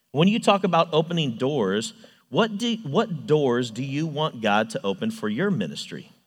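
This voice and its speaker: A man speaks at a moderate pace in a fairly high pitch with vocal fry. His pitch swings very widely. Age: 30s. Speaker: youth ministry volunteer and construction manager. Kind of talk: sermon.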